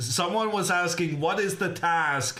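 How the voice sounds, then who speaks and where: There is audible room echo as a man speaks in a bright, sharp tone with very wide pitch swings. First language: not English. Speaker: chess grandmaster commentator. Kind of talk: live commentary. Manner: casual, chatty.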